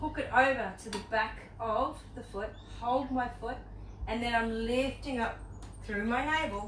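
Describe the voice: Over clear background noise, a woman talks at a fairly slow pace. Her pitch is fairly high, with ordinary variation.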